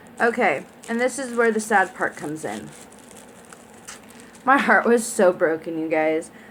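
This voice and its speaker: This woman talks at a very slow pace with a fairly high pitch. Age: 20s. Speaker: beauty vlogger. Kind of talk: product review unboxing. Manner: casual, filler words.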